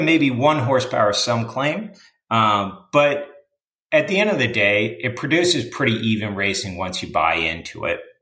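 This man talks at a moderate pace with a medium pitch and very wide pitch swings. His tone is bright and sharp, and room echo can be heard. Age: 30s. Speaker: amateur racer and motorsport announcer. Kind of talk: casual interview.

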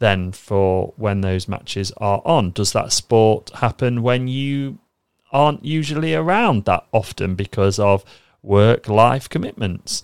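A man speaks in a British accent with a fairly low pitch. His intonation is lively. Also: very clean recording, silent background. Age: 30s. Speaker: trading podcast host. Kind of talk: solo podcast monologue.

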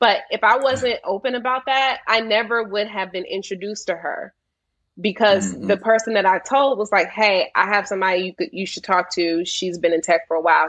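Speaking at a fairly quick pace with lively intonation, a woman with an American accent has an ordinary speaking voice at a medium pitch, set against a quiet background. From US Mid-Atlantic, Washington D.C. area. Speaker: tech sales account executive. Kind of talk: interview.

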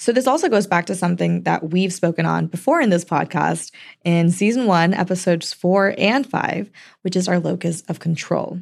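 Vocal fry at a moderate pace with ordinary pitch variation, in a very clean recording with a silent background. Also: woman, fairly low pitch for a woman. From Indian heritage. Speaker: education podcast host, SEL team member. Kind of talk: casual chat.

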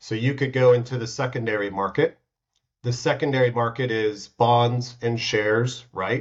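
A man speaks with an American accent at a medium pitch. His voice is somewhat breathy and the pace is moderate. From United States. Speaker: startup founder and CEO. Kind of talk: casual interview.

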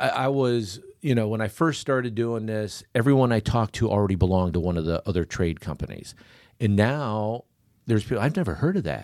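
In an ordinary speaking voice, a man with an American accent talks at a fairly quick pace with lively intonation and fairly low pitch, on a very clean recording with a silent background. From Michigan. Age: 50s. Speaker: barter franchise owner. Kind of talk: podcast interview.

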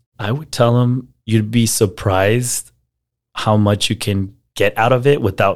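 At a fairly slow pace, a normal speaking voice comes through in a very clean recording with a silent background. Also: man. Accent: American. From US, El Paso, Texas. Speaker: marketer. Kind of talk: interview conversation.

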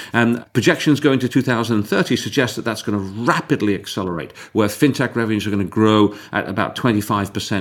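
This is an unremarkable speaking voice with normal pitch movement, going at a fairly brisk clip. The recording is very clean and the background is silent. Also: man. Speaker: podcast host and investment firm partner. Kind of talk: interview.

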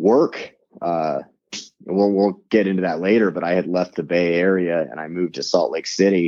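With an American accent, a man speaks in a very deep, low pitch. His pace is moderate and his intonation fairly even. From US West Coast. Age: 30s. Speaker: former record label owner, safety manager. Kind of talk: casual interview.

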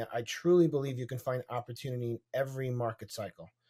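The recording is very clean, with a silent background. A man with a dark, mellow tone and a medium pitch speaks very fast. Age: 40s. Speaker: real estate investor. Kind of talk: interview. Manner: hesitant with many fillers.

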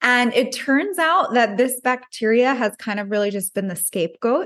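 Against a quiet background, a woman talks in an ordinary speaking voice. Her pitch is fairly high, with ordinary pitch variation. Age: 30s. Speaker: nutritionist. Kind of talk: interview.

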